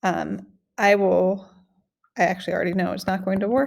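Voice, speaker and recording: The voice belongs to a woman and has vocal fry. The recording is very clean, with a silent background. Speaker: math teacher. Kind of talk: tutorial. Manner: casual, with fillers.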